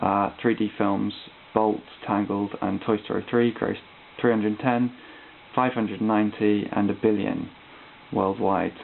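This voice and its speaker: Speaking at a moderate pace, a man uses a monotone, flat intonation at a fairly low pitch. Long pauses come often. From Britain. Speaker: art student. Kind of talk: recorded class presentation. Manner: hesitant, many ums and uhs.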